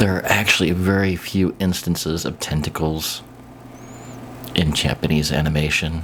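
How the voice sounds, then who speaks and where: A quiet man's voice, very deep and low in pitch, with a Midwestern accent, fairly even intonation and noticeable background noise. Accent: American Midwest. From US Midwest, Kansas City. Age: old. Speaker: YouTuber. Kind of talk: casual monologue. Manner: quiet, hushed.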